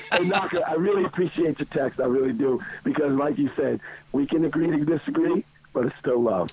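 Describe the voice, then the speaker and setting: Using a put-on character voice, a man speaks fairly quickly at a fairly high pitch, hoarse and raspy, with lively intonation and very even loudness. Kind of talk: casual radio chat. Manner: warm, sincere.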